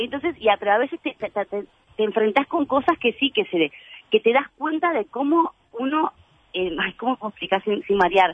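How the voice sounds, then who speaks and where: At a moderate pace, a woman talks with a fairly high pitch and very wide pitch swings. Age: 30s. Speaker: actress and comedian. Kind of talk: casual interview chat.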